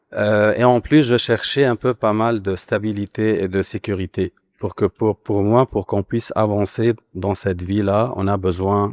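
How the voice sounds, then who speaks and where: Man with a normal speaking voice, fairly low in pitch, fairly even intonation, fairly slow pace, dry and close with no echo, on a very clean recording over a silent background. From Lebanon. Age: 40s. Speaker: immigrant panelist. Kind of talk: panel discussion.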